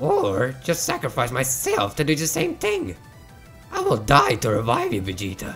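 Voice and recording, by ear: A man's cartoonish character voice at a moderate pace, with clear music in the background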